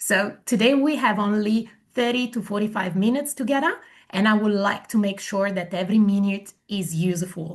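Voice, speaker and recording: A somewhat breathy voice in an Italian accent, moderate in pace, with ordinary pitch variation over a quiet background. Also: woman, medium pitch for a woman. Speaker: migration agent. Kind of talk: webinar presentation.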